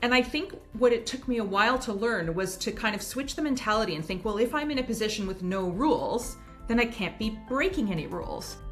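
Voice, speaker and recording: A woman talks very fast with a Canadian accent, her pitch fairly high and her intonation lively. Noticeable background noise sits behind her. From Canada. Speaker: writer, former first lady. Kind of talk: interview answer.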